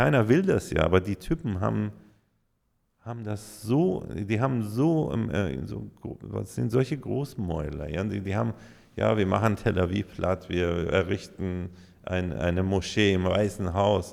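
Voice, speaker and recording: A man with a very deep, low pitch talks at a fairly slow pace, his lively intonation edged with vocal fry. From Iran. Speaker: DJ and music producer. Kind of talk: interview answer.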